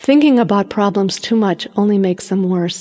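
Speaking at a moderate pace, a woman with an American accent has a medium pitch and a plain, everyday voice. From United States. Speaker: audiobook narrator. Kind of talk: reading aloud.

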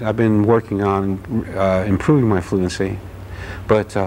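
A man with an American accent speaks at a fairly low pitch with fairly even intonation. Light background noise sits behind him. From Newark, New Jersey; New Jersey. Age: 40s. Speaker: anthropology graduate student; interview guest. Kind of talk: interview. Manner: halting. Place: studio. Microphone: lapel.

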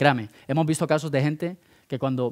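Against a quiet background, a man speaks in a flat monotone at a fairly high pitch. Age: 30s. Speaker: speaker at entrepreneurship program; conference speaker. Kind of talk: conference talk. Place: hall. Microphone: headset.

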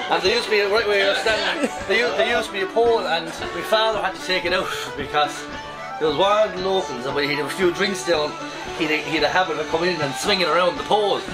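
The speaker goes at a very fast pace with ordinary pitch variation while clear music plays in the background. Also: man. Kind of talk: casual tour guide storytelling. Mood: jovial, humorous. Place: bar. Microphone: camera far.

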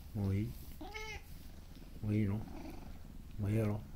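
A man speaks very rapidly, with noticeable noise in the background. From Kansai, Japan. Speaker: cat owner. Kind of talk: casual talk to a pet cat. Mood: playful, affectionate. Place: home room. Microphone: phone near.

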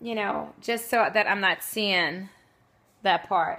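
Using ordinary pitch variation, a woman talks at a fairly slow pace. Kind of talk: cooking livestream tutorial. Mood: cheerful, friendly. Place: kitchen. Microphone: phone near.

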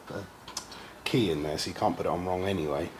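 A man's very fast speech over light background noise. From Essex, England; England. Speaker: mechanic helper; channel host. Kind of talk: casual chat. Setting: workshop. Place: workshop. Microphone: camera far.

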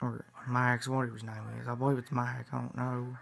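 A man at a moderate pace, faint music in the background. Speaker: vlogger. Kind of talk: casual vlog chat, fan theory. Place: home room. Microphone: phone near.

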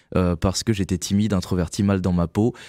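A man's fairly low voice, dark and mellow in tone, with fairly even intonation, dry sound with no echo and a quiet background. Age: 30s. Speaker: author and children's performer; radio guest. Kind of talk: interview. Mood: calm, reflective. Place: studio. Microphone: studio mic.

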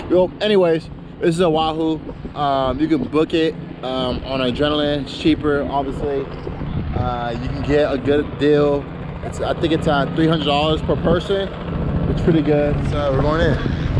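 At a moderate pace, the voice comes through over noticeable background noise. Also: man. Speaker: vlogger. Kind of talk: casual vlog chat. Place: street. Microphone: phone near.

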